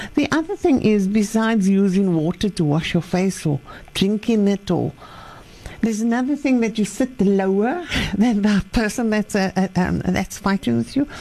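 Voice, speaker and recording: Noticeable background noise sits behind a woman speaking at a moderate pace in a medium pitch. Her intonation is lively and her loudness very even. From Cape, South Africa. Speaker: life coach. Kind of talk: radio interview. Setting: studio.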